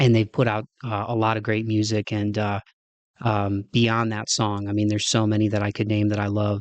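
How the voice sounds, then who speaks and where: With a Midwestern accent, a man speaks at a moderate pace in a fairly low pitch with monotone, flat intonation, the sound dry and close with no echo against a quiet background. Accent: Midwest. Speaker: podcast host. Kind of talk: casual monologue. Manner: halting, many fillers.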